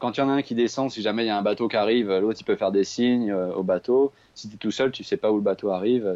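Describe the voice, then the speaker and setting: A man speaks at a very fast pace with fairly even intonation. His pitch is fairly low. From Paris region, France. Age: 20s. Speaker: traveller. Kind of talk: casual chat.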